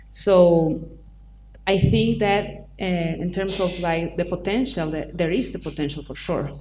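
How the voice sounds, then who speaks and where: A woman's fairly low, fairly slow voice, with audible room echo. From Chile. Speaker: film producer. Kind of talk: panel discussion. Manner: halting.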